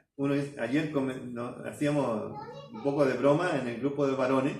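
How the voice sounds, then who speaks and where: Audible room echo surrounds a man whose voice sits fairly high in pitch. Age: 60s. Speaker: pastor. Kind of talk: sermon. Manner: halting.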